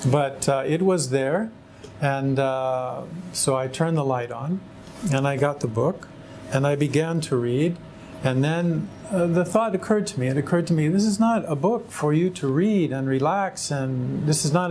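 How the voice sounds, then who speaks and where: A man with an American accent and a fairly high pitch, ordinary pitch variation, moderate pace, noticeable background noise. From California, US. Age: 60s. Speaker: religious convert. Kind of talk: testimony. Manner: halting.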